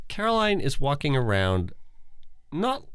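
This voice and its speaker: A man is speaking. His pitch swings very widely. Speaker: podcast host, partner of implant recipient. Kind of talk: casual conversational podcast. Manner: animated, emotional.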